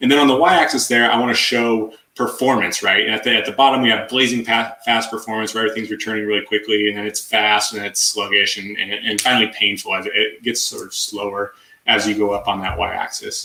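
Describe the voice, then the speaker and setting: A man with a medium-pitched voice and fairly even intonation talks at a very fast pace. He hardly pauses, and there is noticeable background noise. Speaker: tech conference speaker. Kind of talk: technical presentation.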